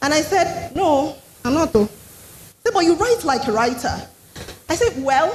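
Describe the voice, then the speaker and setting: With a Nigerian accent, a woman speaks at a fairly slow pace in a high voice with very wide pitch swings. Noticeable background noise runs behind her. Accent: Nigerian accent, others find it funny. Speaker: storyteller and writing coach. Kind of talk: TEDx talk. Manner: switches to a different tune for clarity.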